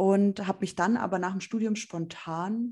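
A woman's somewhat breathy voice, dark and mellow in tone, with lively intonation. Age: 20s. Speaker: journalist and magazine editor. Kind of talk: interview. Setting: video call.

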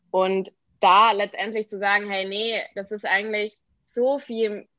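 A woman talks at a very slow pace. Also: quiet background. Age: 20s. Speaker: entrepreneur and brand designer. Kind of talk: podcast interview. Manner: many filler words (ähm, genau).

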